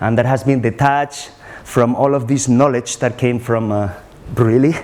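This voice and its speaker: A man's medium-pitched voice with fairly even intonation and noticeable background noise. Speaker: researcher on ayahuasca, NGO worker. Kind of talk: conference talk. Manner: very fast.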